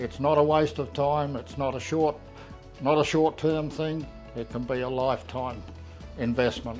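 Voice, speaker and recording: A man with an Australian accent at a moderate pace, ordinary pitch variation, music playing in the background. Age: 80s+. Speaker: customer giving a testimonial. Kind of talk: customer testimonial talk to camera.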